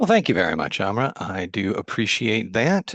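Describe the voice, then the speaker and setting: A man speaks with an American accent. The sound is dry and close with no echo, over a quiet background. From US Midwest, Chicago. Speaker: agile consultant and author. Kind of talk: meetup talk presentation.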